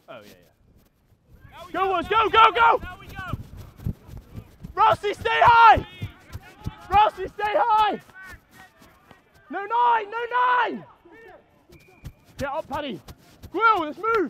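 A man speaks in a raised, projected voice at a very slow pace, with lively intonation and big swings in loudness. Long, frequent pauses break it up, and the sound is dry with no echo but noticeable background noise. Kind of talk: shouted calls during training. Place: open country. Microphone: lapel.

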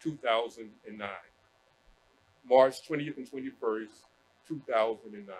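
With light background noise behind him, a man talks at a moderate pace with ordinary pitch variation, big swings in loudness and long, frequent pauses. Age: 60s. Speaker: professor. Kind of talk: panel remarks. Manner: hesitant, many fillers. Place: hall. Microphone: podium.

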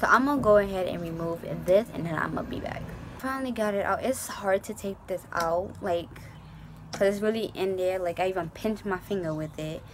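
A woman talks at a fairly quick pace with ordinary pitch variation. Noticeable background noise runs behind her. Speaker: beauty vlogger. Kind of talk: tutorial. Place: home room. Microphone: phone near.

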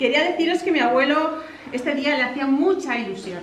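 A woman speaks loudly at a fairly quick pace with ordinary pitch variation. Light background noise and audible room echo surround her voice. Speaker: granddaughter giving a family speech. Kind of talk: celebratory speech. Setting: outdoor village party without microphone. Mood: warm, emotional. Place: hall. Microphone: no microphone; camera far.

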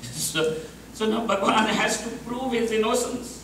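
Amid light background noise and audible room echo, a man speaks at a very slow pace. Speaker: speaker. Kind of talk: storytelling discourse. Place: hall.

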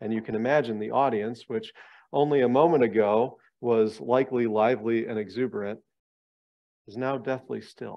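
Fairly even intonation marks a man's speech, delivered at a moderate pace. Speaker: bible study lecturer. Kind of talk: lecture. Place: meeting room. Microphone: headset.

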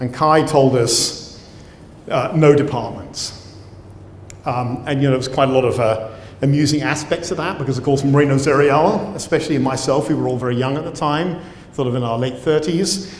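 A man with a British accent, light background noise and audible room echo. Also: ordinary pitch variation, moderate pace. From Britain. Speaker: professor and cell biologist. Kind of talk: lecture. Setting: stage with audience. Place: hall. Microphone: lapel.

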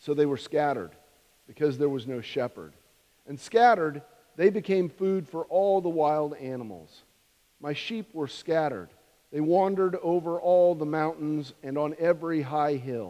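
The voice has a dark, mellow tone and ordinary pitch variation. The background is quiet. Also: man, moderate pace. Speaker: minister. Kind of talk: scripture reading in a sermon. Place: church. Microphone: podium.

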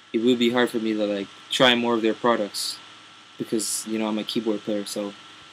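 Little pitch movement marks a man's fairly bright tone as he talks at a moderate pace amid audible room echo.

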